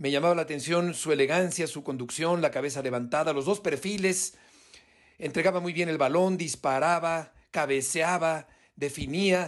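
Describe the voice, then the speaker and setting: A man with an ordinary speaking voice talks at a moderate pace, his fairly high pitch held in fairly even intonation. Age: 50s. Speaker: sports journalist. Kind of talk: recorded testimony.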